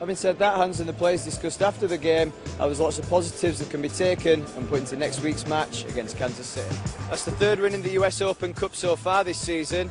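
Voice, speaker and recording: With music in the background, the speech runs at a very fast pace with lively intonation. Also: man, fairly high pitch for a man. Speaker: sports broadcaster. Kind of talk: sports news report to camera.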